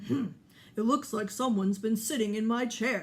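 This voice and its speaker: A raspy, put-on character voice at a fairly high pitch moves along at a moderate pace. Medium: read story. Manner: slow, ponderous, thoughtful.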